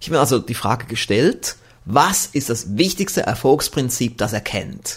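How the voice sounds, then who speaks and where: A somewhat breathy man with lively intonation. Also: very clean recording, silent background. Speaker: podcast host and success seminar trainer. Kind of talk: scripted podcast monologue. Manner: formal. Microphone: good microphone with pop filter.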